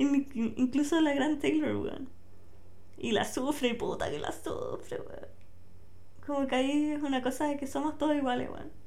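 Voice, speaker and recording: With a Chilean accent and a high pitch, a woman speaks at a moderate pace with lively intonation and long, frequent pauses, amid noticeable background noise and audible room echo. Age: 20s. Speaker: podcaster. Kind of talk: casual monologue. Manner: relaxed.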